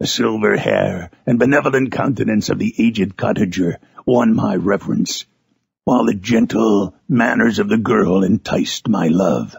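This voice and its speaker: Moderate pace in a put-on character voice, raspy throughout. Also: man, medium pitch for a man. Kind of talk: audiobook reading of a classic novel.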